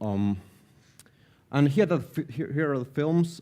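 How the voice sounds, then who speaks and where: A man's voice, dark and mellow in tone. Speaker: animation director and producer. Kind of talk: conference talk. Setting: live event stage. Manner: hesitant, low-key.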